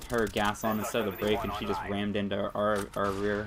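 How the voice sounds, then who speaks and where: Over noticeable background noise, a man speaks with a fairly low pitch. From Pennsylvania. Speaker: gaming commentator. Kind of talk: gameplay commentary. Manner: fast.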